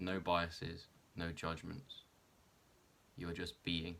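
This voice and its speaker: A man speaks slowly with a calm, bright and sharp tone, a very deep, low pitch and fairly even intonation. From South West England. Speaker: wheelchair basketball athlete. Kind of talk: guided meditation. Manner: slow, calm.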